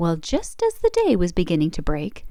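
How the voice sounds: Wide pitch swings run through a woman's fairly low voice. Her tone is dark and mellow, and her pace is moderate.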